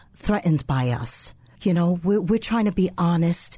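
In a New York accent, a woman talks with lively intonation and a somewhat breathy quality. Her tone is dark and mellow. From New York City, the Bronx. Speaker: co-pastor. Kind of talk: radio interview.

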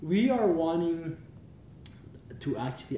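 Over noticeable background noise and audible room echo, a man talks at a moderate pace. His pitch is fairly high, and his intonation is lively. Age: 20s. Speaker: father of five. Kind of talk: casual chat. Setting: guests' home.

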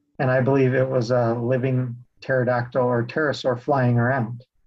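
Speaking at a moderate pace, a man with an American accent talks at a medium pitch. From Utah (Salt Lake City area). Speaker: real estate investor, creation researcher. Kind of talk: interview conversation.

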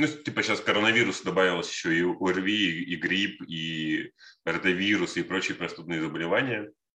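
A man's very deep, low pitch in a bright, sharp tone, with ordinary pitch variation at a moderate pace. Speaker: podcast co-host. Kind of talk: casual chat.

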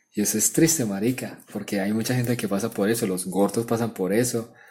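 A man talks at a moderate pace in a medium pitch, with ordinary pitch variation and a dark, mellow tone. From Colombia, Urabá (Apartadó, Antioquia). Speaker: podcast co-host. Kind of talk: casual chat.

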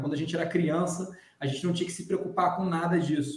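With audible room echo around him, a man speaks at a fairly quick pace in a fairly high pitch and fairly even intonation. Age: 30s. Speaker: podcast host. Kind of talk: casual chat.

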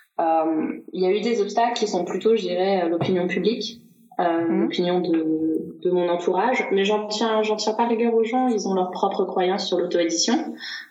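A woman speaks at a medium pitch with very even loudness, her voice carrying an audible room echo over noticeable background noise. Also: ordinary pitch variation, moderate pace. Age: 30s. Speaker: self-published novelist. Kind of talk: casual interview chat.

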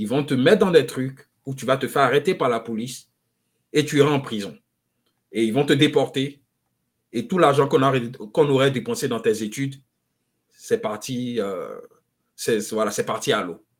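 Speaking fairly slowly, a man uses lively intonation at a medium pitch. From Ivory Coast (Abidjan). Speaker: economist and author. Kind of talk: interview.

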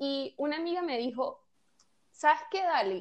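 Her intonation is lively. The woman talks at a fairly slow pace. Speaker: podcast host. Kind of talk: casual chat.

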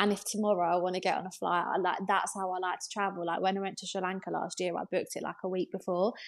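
This woman speaks at a very fast pace in an English accent. Her intonation is monotone and flat. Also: medium pitch for a woman. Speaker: interior designer and content creator. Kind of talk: casual chat.

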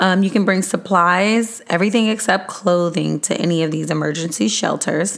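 Loud and with hardly any pauses, a woman speaks with ordinary pitch variation over noticeable background noise. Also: medium pitch for a woman, moderate pace. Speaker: podcast host. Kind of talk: podcast monologue sharing resources. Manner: trying to talk louder.

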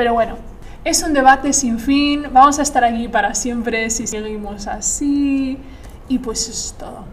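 A woman with a high pitch speaks at a moderate pace, showing ordinary pitch variation and big swings in loudness. Audible room echo and noticeable background noise are present. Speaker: journalism student, podcast host. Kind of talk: casual chat. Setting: university classroom with echo. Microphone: echo, uneven distance to mic.

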